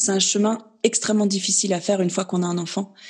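At a moderate speed, a woman with a somewhat breathy, medium-pitched voice keeps her intonation fairly level. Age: 30s. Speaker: naturopath sharing her fertility journey. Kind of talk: interview testimony.

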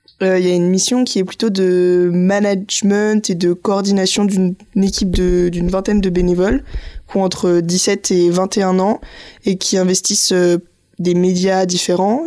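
A woman at medium pitch speaks at a fairly slow pace. Her intonation is monotone and flat, and her loudness stays very even. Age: 20s. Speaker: civic service volunteer. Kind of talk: interview.

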